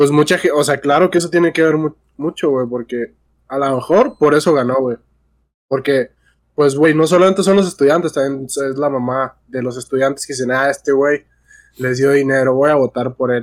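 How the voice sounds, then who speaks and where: A man with a fairly high pitch speaks at a moderate pace with fairly even intonation, and the sound is dry and close with no echo. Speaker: podcast co-host. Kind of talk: casual chat.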